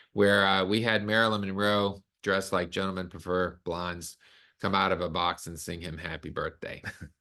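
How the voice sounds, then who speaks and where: Over a quiet background, a man with a Southern US accent speaks at a moderate pace in a very deep, low pitch, his bright, sharp tone set in a monotone, flat intonation. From US South, Arkansas. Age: 60s. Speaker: concert pianist and host. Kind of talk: webinar presentation.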